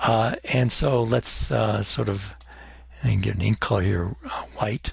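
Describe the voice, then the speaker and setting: A man speaks with a fairly low pitch and vocal fry. His pitch swings very widely. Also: fairly slow pace. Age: 60s. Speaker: chemistry professor. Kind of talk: recorded lecture. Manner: hesitant, many fillers.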